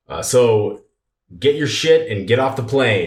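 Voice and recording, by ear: Using a gruff, put-on character voice, a man speaks at a fairly slow pace and medium pitch.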